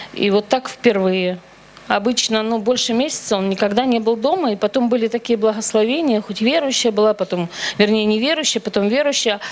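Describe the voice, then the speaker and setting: A woman talks at a fairly quick pace in a fairly high pitch with ordinary pitch variation. Noticeable background noise sits behind her. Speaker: churchgoer. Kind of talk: testimony. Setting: church.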